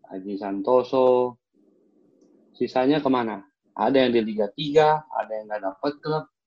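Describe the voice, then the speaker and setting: At a fairly slow pace, a man with a normal speaking voice talks at medium pitch with ordinary pitch variation. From Jakarta. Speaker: former professional footballer and coach. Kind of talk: casual interview.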